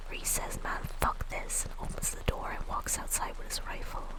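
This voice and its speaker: Whispered speech at a moderate pace comes through noticeable background noise. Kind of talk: creepypasta reading, live-streamed.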